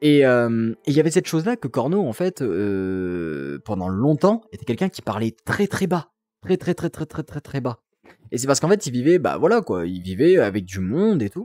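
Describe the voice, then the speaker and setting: A man's dark, mellow tone with very wide pitch swings at a moderate pace, dry and close with no echo. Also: medium pitch for a man, very clean recording, silent background. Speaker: VRChat roleplay streamer. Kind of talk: casual live-stream chat. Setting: live stream from home apartment. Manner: loud; hesitant, many fillers.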